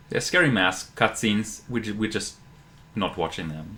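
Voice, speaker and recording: Speaking fairly quickly, a man uses a fairly low pitch with ordinary pitch variation and a bright, sharp tone. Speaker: speedrunner. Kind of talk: live commentary. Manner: loud.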